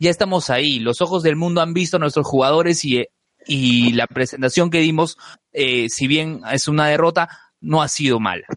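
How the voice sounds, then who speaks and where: A plain, everyday voice speaking at a moderate pace with very even loudness. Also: man, fairly high pitch for a man, ordinary pitch variation. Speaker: podcast co-host. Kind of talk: casual chat.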